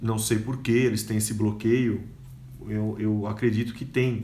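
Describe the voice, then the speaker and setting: This man speaks at a moderate pace, and the room echo is audible. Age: 40s. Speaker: podcaster and educator. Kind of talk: casual monologue.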